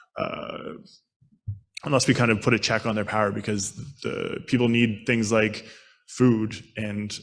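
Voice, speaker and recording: With long, frequent pauses and flat, monotone intonation, a man at a medium pitch speaks amid audible room echo. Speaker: street outreach worker. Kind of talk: conference panel talk. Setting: conference panel. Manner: fast.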